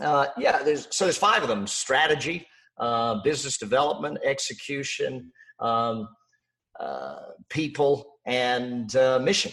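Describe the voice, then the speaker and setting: A man with an Australian accent, fairly high pitch and a fairly slow pace. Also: ordinary pitch variation. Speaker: business coach and author. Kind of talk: interview.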